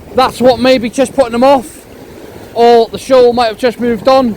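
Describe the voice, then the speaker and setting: A man with an extremely high pitch talks at a moderate pace over noticeable background noise. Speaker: fishing vlogger. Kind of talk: outdoor vlog with tips. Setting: outdoors on the shore.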